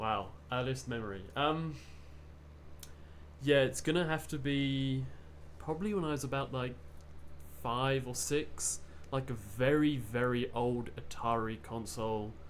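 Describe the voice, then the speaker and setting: A man at medium pitch with an English accent, very wide pitch swings, a fairly slow pace, long, frequent pauses and audible room echo. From England. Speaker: visiting games researcher. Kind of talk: podcast interview.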